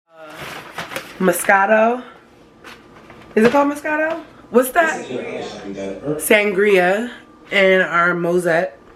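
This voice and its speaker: Against noticeable background noise, a woman speaks very slowly with long, frequent pauses, very wide pitch swings and big swings in loudness. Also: medium pitch for a woman. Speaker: YouTuber. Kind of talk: casual chat. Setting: at a restaurant.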